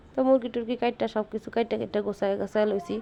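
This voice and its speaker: A woman talks at medium pitch with monotone, flat intonation over noticeable background noise. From Bangladesh, regional dialect area. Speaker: homemaker cooking vlogger. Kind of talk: casual cooking vlog in regional dialect. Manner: chatty, conversational.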